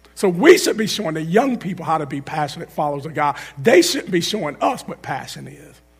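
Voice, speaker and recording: Lively intonation and an animated tone mark this man's speech at a moderate pace. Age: 40s. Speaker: guest preacher. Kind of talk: sermon. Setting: church.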